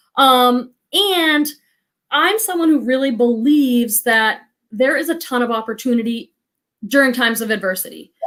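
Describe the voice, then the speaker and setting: With an American accent and lively intonation, a woman speaks at a high pitch and a moderate pace. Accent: Boston accent, comes out on some words. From Boston area. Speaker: psychotherapist and reseller. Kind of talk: casual chat. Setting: live stream video call.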